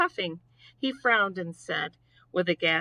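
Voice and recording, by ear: A natural-sounding read-aloud voice full of lively intonation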